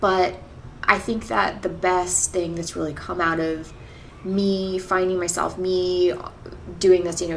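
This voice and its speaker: A woman with an ordinary speaking voice and fairly low pitch talks over light background noise. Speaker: vlogger. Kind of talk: casual vlog chat. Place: home room.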